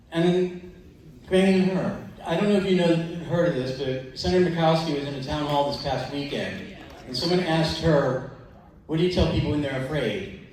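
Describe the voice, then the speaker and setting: Over noticeable background noise and audible room echo, a man speaks at a fairly quick pace. His pitch is fairly high, with ordinary variation. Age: 60s. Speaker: audience member. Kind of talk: question from the floor. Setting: town hall with live audience.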